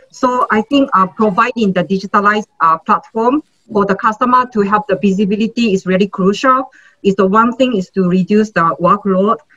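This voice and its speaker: A woman's fairly high voice at a moderate pace, with a dry, close sound with no echo and music in the background. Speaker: logistics executive. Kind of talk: panel discussion. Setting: webcast.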